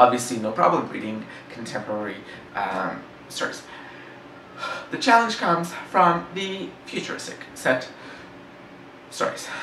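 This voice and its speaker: In a room with audible echo and noticeable background noise, a man speaks at a fairly slow pace with long, frequent pauses, very wide pitch swings and big swings in loudness. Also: medium pitch for a man. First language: French. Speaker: book reviewer. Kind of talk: casual book discussion. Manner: halting, many fillers.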